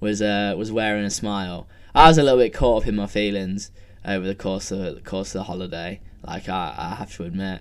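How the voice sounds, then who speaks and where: A man's plain, everyday voice, fairly low in pitch and fairly quick, with ordinary pitch variation and big swings in loudness. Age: 20s. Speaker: podcaster. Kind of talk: casual solo monologue. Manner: rambling, filler-heavy.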